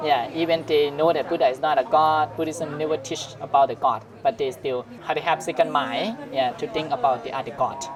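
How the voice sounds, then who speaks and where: With music in the background, a man with a Thai accent and a fairly high pitch speaks at a moderate pace, his intonation lively and his pauses hardly any. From northern Thailand. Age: 20s. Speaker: Buddhist monk. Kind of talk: casual interview. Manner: halting.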